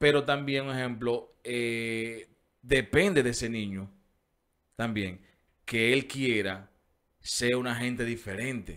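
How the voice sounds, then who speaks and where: Very slow speech with ordinary pitch variation and long, frequent pauses. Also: man, medium pitch for a man, quiet background. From Dominican Republic, Herrera; Dominican Republic. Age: 40s. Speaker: radio show host. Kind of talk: casual chat. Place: studio. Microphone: studio mic.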